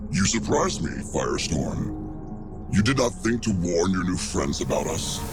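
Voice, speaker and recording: Over loud background music, a man uses a put-on character voice with a very deep, low pitch at a moderate pace. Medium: audio drama. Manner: formal, threatening, clipped.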